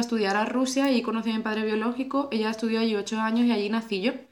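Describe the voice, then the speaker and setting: A woman talks at a fairly high pitch with fairly even intonation. There is noticeable background noise behind her. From Andalusia, Spain (Cádiz province). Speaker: podcast host. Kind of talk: casual conversation. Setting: at the guest's home.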